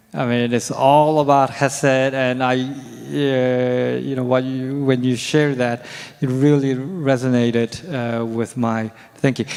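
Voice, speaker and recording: Against noticeable background noise, a man with a Korean accent speaks at a fairly slow pace in a monotone, flat intonation. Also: medium pitch for a man. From South Korea. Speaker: professor of biblical studies. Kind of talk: Q&A answer. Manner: halting.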